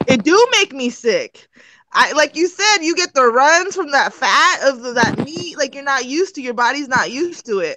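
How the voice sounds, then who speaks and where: A woman's raised, projected, high-pitched voice, bright and sharp in tone with lively intonation. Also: moderate pace. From Turkey. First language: Turkish. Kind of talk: casual chat.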